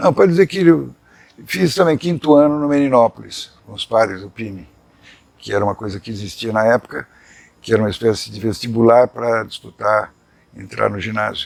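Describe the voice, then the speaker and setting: A man with an unremarkable speaking voice talks at a moderate pace and medium pitch, with lively intonation and big swings in loudness. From Brazil, São Paulo. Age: 60s. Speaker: journalist. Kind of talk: life story interview.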